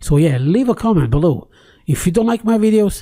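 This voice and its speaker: With a non-native accent, the speaker talks at a moderate speed. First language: not English. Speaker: tech YouTuber. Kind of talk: casual screen-recorded tutorial with ranting. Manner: close to the microphone; hesitant, many fillers and repeats.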